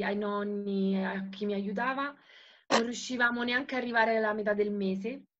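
The speaker is a woman at a moderate pace. Her intonation shows ordinary pitch variation. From Italy. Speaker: network marketing seller. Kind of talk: testimony. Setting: video call. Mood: emotional, earnest. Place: home room. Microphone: video call.

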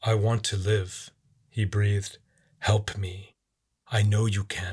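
A man puts on a character voice with a fairly low pitch and monotone, flat intonation. He goes at a fairly slow pace in a very clean recording with a silent background.

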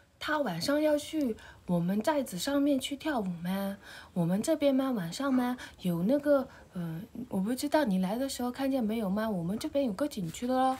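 A woman's high-pitched voice carries lively intonation as she goes along at a moderate pace. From Xishuangbanna, Yunnan (Dai village); Yunnan. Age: 20s. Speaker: villager; local villager host. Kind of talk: casual chat. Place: home room. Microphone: phone near.

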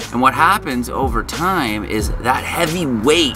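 A man talks at a fairly slow pace. Clear music plays behind him. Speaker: vehicle vlogger. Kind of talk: casual vlog chat. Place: open country. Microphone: phone near.

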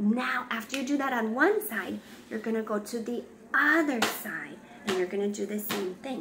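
There is noticeable background noise. A woman speaks at a fairly slow pace. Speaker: parent demonstrating a craft. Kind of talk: tutorial. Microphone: phone near.

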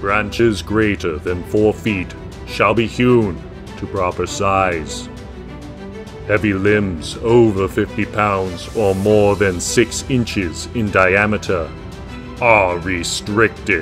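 Over loud background music, a man speaks very slowly in a put-on character voice. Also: fairly low pitch for a man. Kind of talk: public service announcement parody, mock-medieval proclamation. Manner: solemn, grandiose.

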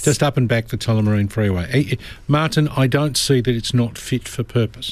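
A man with an Australian accent, medium pitch and ordinary pitch variation, at a moderate pace, in a dry sound with no echo. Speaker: lawyer. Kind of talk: radio legal advice.

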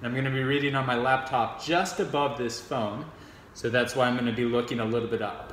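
Fairly even intonation and a fairly quick pace come through with audible room echo and light background noise. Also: man. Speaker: poetry reader. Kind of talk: casual talk to camera. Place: home room. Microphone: phone near.

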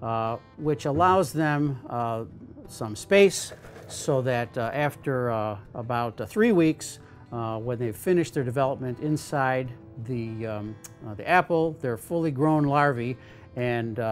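A man at a fairly slow pace, with faint music in the background. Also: ordinary pitch variation. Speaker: entomology professor. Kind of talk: tutorial. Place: workshop.

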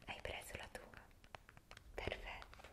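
A woman whispering at a very slow pace. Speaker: relaxation video host. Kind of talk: soft guided tutorial. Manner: soft, close-mic ASMR voice. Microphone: studio mic.

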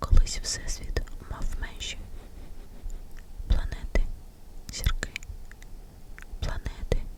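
Long, frequent pauses interrupt a whisper at a very slow pace. Noticeable background noise is present. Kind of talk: ASMR bedtime story. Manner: whispered.

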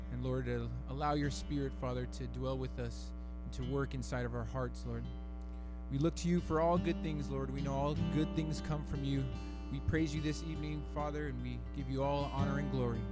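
A man talks at a fairly quick pace, with a dry sound that has no echo. Clear music plays in the background. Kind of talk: prayer. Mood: calm, reverent. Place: church. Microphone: handheld.

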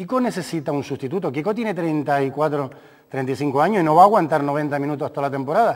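A man's fairly high voice at a fairly quick pace, with ordinary pitch variation and a quiet background. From Canary Islands. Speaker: sports doctor and football coach; football coach. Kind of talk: casual chat. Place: studio.

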